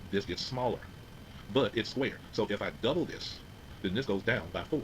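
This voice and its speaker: A man talks fairly quickly in an unremarkable speaking voice with lively intonation. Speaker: physics teacher. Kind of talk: lecture.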